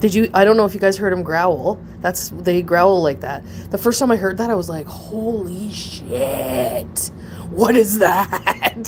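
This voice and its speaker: Noticeable background noise runs through the clip. A woman talks at a fairly slow pace. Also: medium pitch for a woman, ordinary pitch variation. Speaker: pet owner streaming about her opossums. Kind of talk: casual livestream chat. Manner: rambling, halting with restarts.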